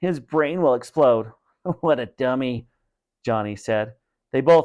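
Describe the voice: With lively intonation, the clip is plain reading aloud over a quiet background.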